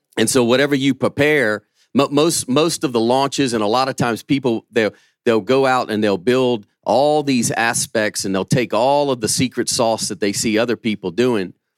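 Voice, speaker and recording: A man with a Southern US accent is heard in a dry, close recording with no echo. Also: medium pitch for a man, ordinary pitch variation, moderate pace. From Louisiana. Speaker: pastor and businessman. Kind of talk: conference panel talk.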